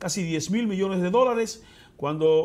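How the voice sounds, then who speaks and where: A man at a fairly quick pace. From Dominican Republic, Elías Piña province; Dominican Republic. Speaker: senator. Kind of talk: interview. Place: studio. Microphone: lapel.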